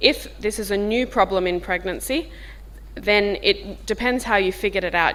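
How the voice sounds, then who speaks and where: A woman with a strong Australian accent at a moderate pace. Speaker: diabetes professor. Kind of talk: workshop discussion. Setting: workshop with audience, filmed. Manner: informal.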